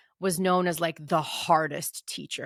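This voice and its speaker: In a very clean recording with a silent background and a dry, close sound with no echo, a woman speaks at a moderate pace in a fairly low pitch with a bright, sharp tone. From Moldova, raised in the US from age six. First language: Russian. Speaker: podcast host, writer and editor. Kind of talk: personal storytelling monologue. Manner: casual, with fillers and self-corrections.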